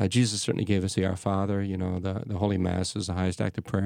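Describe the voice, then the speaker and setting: A man's fairly low-pitched voice in a very clean recording with a silent background. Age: 60s. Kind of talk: casual chat. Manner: halting.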